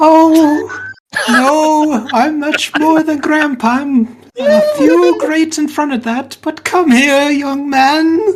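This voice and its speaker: Someone uses a put-on character voice with a high pitch at a very slow pace. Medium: actual play.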